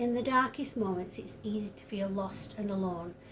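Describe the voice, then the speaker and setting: A woman's fairly high voice with a northern English accent, ordinary pitch variation and a moderate pace, amid noticeable background noise and audible room echo. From northern England. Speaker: tarot reader. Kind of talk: tarot reading monologue. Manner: hesitant, many fillers.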